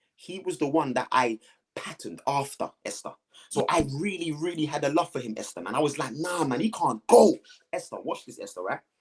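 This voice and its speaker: Fairly high-pitched and fairly quick, a man speaks with a London accent. His intonation is lively. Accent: London multicultural English. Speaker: guest sharing life story. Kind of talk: testimony. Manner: animated.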